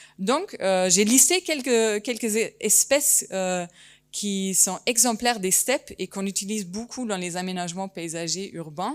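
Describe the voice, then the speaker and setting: Spoken at a fairly slow pace with a slight German accent, the voice shows ordinary pitch variation on a very clean recording with a silent background. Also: woman, medium pitch for a woman. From Germany, German-Turkish family. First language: German (speaking French). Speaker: landscape architect and geographer. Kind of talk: conference talk. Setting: conference hall with audience. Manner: hesitant, many fillers.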